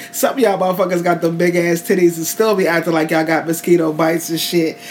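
A woman speaks at a fairly low pitch, with noticeable noise in the background. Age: 40s. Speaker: podcast co-host. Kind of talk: casual banter, podcast recap. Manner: loud, joking, profane.

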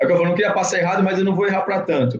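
A man talks at a high pitch. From Santos, São Paulo state, Brazil. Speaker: forensic expert police officer. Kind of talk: casual chat.

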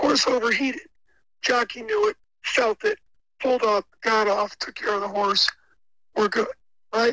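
Projecting a raised voice with a bright, sharp tone and high pitch, a man speaks at a moderate pace with fairly even intonation and long, frequent pauses, in a dry, close sound with no echo. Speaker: caller.

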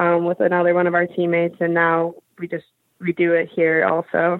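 At a moderate pace, an unremarkable speaking voice talks with an American accent. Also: woman. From US Midwest, Michigan. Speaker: hockey player. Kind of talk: interview.

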